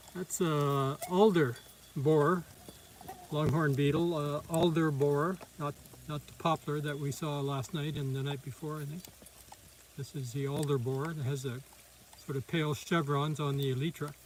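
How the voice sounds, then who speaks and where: Over noticeable background noise, a man talks at a moderate pace with long, frequent pauses. His voice is fairly high-pitched, with fairly even intonation. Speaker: amateur naturalist live streamer. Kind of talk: live commentary. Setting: outdoors.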